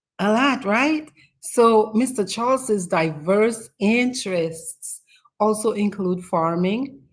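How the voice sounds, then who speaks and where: In a Dominican accent, a woman speaks at a medium pitch with ordinary rises and falls. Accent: Dominican Caribbean. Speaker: talk show host. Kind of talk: interview introduction.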